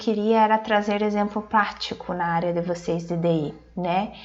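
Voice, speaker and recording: Audible room echo and ordinary pitch variation. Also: woman. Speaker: marketing speaker. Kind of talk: online conference talk.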